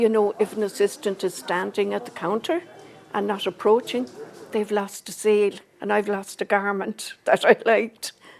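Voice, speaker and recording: A woman speaks with an Irish accent and ordinary pitch variation. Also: medium pitch for a woman, moderate pace. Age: old. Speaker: older shopper. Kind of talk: video interview.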